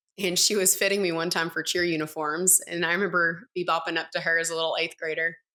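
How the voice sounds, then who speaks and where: A woman's very fast, bright, sharp voice with a Tennessee accent, fairly low in pitch, monotone and flat, with hardly any pauses. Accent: Southern US (Tennessee). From US South, East Tennessee. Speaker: entrepreneur, former college dancer. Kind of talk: podcast interview.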